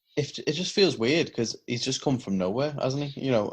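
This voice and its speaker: A voice with a British accent and ordinary pitch variation, set against a quiet background. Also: man. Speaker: wrestling podcast co-host. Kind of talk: casual chat.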